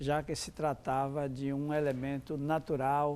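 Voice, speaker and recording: This man's voice has a dark, mellow tone and a fairly high pitch. He speaks at a fairly slow pace. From Brazil, Pernambuco (Zona da Mata Norte). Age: 70s. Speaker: rural educator and social movement activist. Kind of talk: interview monologue.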